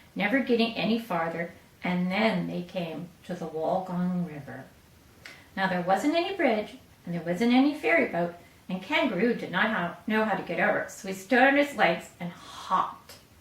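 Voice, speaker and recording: Over noticeable background noise, a woman talks at a moderate pace with very wide pitch swings. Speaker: grandmother reading to her grandson. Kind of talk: storybook reading.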